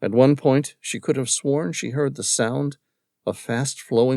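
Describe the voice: The background is silent. What plays is plain reading aloud.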